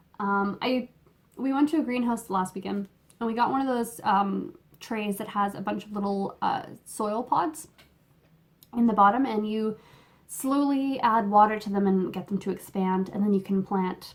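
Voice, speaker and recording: Speaking in a Canadian accent, a woman has a fairly high, somewhat breathy voice. Her pace is moderate and her pitch varies in an ordinary way. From Canada. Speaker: knitting podcaster. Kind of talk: casual chat. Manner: halting, many fillers. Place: home room. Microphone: phone near.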